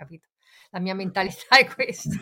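Using a normal speaking voice, a woman talks at a fairly quick pace and a medium pitch with ordinary pitch variation. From Genoa, Italy. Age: 50s. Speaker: focaccia baker, football fan. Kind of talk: casual chat.

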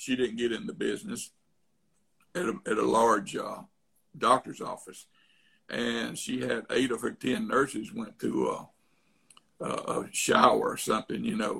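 A man with an Alabama accent at a fairly slow pace, broken by long, frequent pauses. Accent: Alabama Southern. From Tuscaloosa, Alabama, US South. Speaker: real estate investor. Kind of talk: casual interview chat. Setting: remote call.

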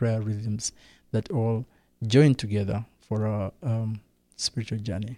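On a very clean recording with a silent background, a man speaks at a moderate pace. His tone is dark and mellow, and his intonation is fairly even. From Rwanda. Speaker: pastor. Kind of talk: interview. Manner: halting.

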